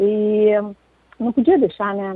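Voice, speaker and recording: At a fairly slow pace, a woman speaks with fairly even intonation and a medium pitch. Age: 60s. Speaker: poet. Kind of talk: interview. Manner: halting, many fillers.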